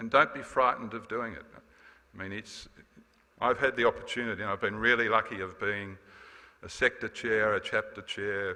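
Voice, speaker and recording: A man talks with an Australian accent. His pace is fairly quick. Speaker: former association president. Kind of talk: farewell speech. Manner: fast.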